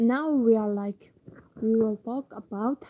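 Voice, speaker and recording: Speaking very slowly in an Arabic accent, a woman uses a fairly high pitch with ordinary pitch variation. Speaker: university student and novelist. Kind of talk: informal talk to camera. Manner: halting.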